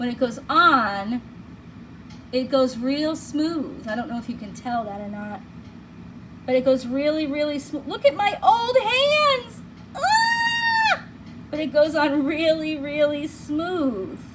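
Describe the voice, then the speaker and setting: With a Boston accent, a woman speaks very slowly at a high pitch, her voice making very wide pitch swings and big swings in loudness. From Massachusetts (Plymouth, Boston area). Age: 50s. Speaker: beauty vlogger. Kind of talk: product review. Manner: casual, chatty.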